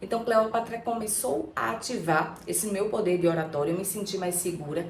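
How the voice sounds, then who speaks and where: A woman with lively intonation at a moderate pace, with audible room echo and noticeable background noise. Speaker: archetype therapist, YouTuber. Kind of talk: personal storytelling vlog. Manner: casual, conversational.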